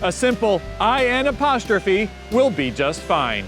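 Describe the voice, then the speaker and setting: A man's high voice with an American accent and very wide pitch swings, music playing in the background. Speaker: host. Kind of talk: casual talk to camera.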